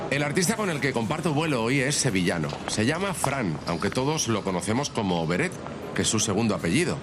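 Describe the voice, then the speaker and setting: A man talking at a fairly quick pace with very wide pitch swings, audible room echo and music in the background. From Spain, Alicante. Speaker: radio host. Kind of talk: scripted narration.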